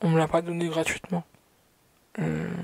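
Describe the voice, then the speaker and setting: In a dry, close recording with no echo, a woman speaks with a very deep, low pitch and fairly even intonation. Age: 20s. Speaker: vlogger. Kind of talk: personal vlog monologue. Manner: hesitant, many fillers.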